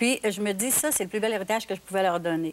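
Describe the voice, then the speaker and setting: This woman talks at a moderate pace, her medium pitch showing ordinary variation. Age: 60s. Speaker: singer's mother. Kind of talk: TV talk show interview. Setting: TV studio.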